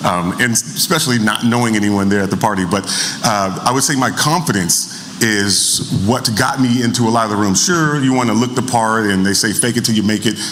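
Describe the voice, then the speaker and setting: Amid noticeable background noise and audible room echo, a man speaks at a fairly quick pace with very even loudness and ordinary pitch variation. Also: medium pitch for a man. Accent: American. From US Pacific Northwest, Tacoma. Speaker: film industry worker and speaker. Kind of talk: rapid talk at a symposium.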